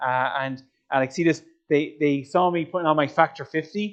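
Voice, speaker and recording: Fairly high in pitch, a man with an Irish accent speaks at a fairly quick pace. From Ireland. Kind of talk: motivational talk to young audience. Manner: animated, conversational.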